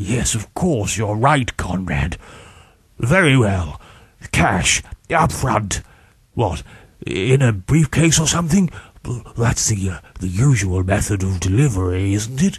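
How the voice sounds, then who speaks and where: Putting on a character voice, a man speaks at a fairly low pitch and a fairly slow pace, with long, frequent pauses. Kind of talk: comic overacting. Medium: read story. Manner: blustering, impatient.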